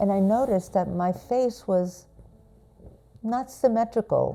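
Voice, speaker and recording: Dark, mellow tone with an American accent. The pace is fairly slow. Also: woman. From New York City. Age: 70s. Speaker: actor and stroke patient. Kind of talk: personal testimony.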